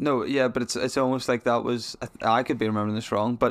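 The recording is very clean, with a silent background. A man talks at a medium pitch. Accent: Northern Irish. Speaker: podcast host. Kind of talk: casual chat. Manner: jokey, laughs often.

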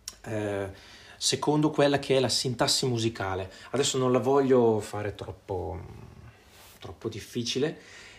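With a medium pitch and ordinary pitch variation, a man talks at a fairly slow pace in a somewhat breathy voice, leaving long, frequent pauses. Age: 40s. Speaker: music teacher. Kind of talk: tutorial. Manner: hesitant, many filler sounds.

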